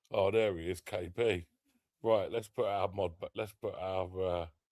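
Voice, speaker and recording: A man with an English accent speaks in a fairly low voice with fairly even intonation. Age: 30s. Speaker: live streamer. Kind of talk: casual chat.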